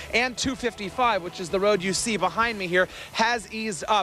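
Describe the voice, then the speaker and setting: A man with a high pitch speaks in a raised, projected voice. His pace is moderate, with music in the background. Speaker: TV news reporter and anchor. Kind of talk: TV news package voiceover, scripted anchor-style delivery.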